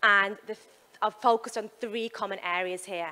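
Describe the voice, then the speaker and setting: A woman in a West Midlands accent, bright and sharp in tone, medium in pitch, fairly even in intonation, at a moderate pace. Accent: West Midlands English, obvious. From West Midlands, England. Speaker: sports performance psychologist. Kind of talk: keynote talk. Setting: stage with audience, handheld mic. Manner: casual, with fillers.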